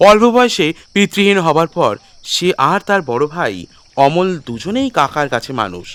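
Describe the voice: A man speaks with fairly high pitch and big pitch swings. His tone is fairly bright.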